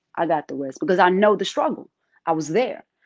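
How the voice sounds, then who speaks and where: This woman has a fairly low, dark, mellow voice and an American accent. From South Africa, Zulu village. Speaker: guest sharing life story. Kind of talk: interview testimony. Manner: halting, many fillers.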